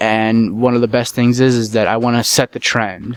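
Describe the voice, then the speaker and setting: A man's relaxed voice sits at a medium pitch. The sound is dry and close, with no echo. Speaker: gaming YouTuber. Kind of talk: casual commentary.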